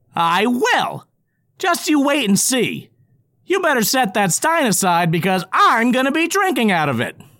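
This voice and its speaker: A put-on character voice sits at a fairly high pitch with very wide pitch swings. It keeps a moderate pace. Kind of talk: comic audio drama acting. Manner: eager, pleading, then cocky.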